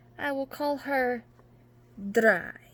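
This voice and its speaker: A female-sounding voice, high in pitch, performs a put-on character voice. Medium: read story. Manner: grudging, flat.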